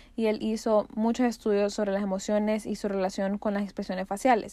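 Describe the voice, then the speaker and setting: In a very clean recording with a silent background, a woman speaks at a moderate pace and a fairly high pitch, her intonation monotone and flat. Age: 20s. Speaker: podcast host. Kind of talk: solo podcast monologue. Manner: casual.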